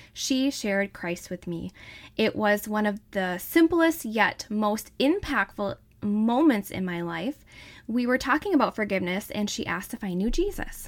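In a very clean recording with a silent background, a woman with a Wisconsin accent speaks at a moderate pace, her fairly high voice warm and upbeat with lively intonation. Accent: Wisconsin (northern US Midwest). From northern Wisconsin. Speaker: podcast host, wellness advocate and mom. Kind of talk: podcast intro, personal storytelling. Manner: warm, upbeat, enthusiastic.

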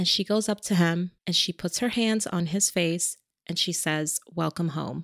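With a fairly low pitch, a woman sounds animated in a dry, close recording with no echo. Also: fairly slow pace. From New York. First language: a language other than English. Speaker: podcast co-host. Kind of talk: casual chat.

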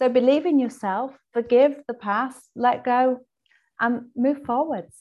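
A woman speaks at a very slow pace in an English accent, her high voice holding a fairly even intonation. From England. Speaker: holistic health coach and author. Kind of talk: interview.

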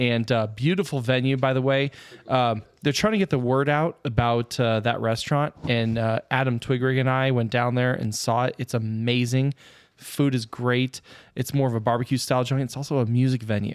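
Recorded very cleanly against a silent background, with a dry, close sound and no echo, a man uses an ordinary speaking voice at a medium pitch and very even loudness. He keeps a moderate pace and fairly even intonation. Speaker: podcast host. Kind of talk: casual chat.

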